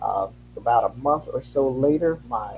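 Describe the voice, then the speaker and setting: A man talks while music plays in the background. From Haiti. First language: Haitian Creole. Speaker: educator. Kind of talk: interview.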